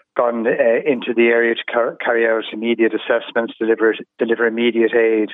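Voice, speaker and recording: A man speaks with an Irish accent. His pitch is medium and his pace fairly quick. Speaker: charity director. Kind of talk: news interview. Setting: phone call. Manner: halting.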